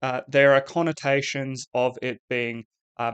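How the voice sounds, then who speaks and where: With an Australian accent, a man speaks at a very slow pace and medium pitch, the sound dry and close with no echo against a quiet background. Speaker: English teacher. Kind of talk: lecture. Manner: hesitant, many fillers.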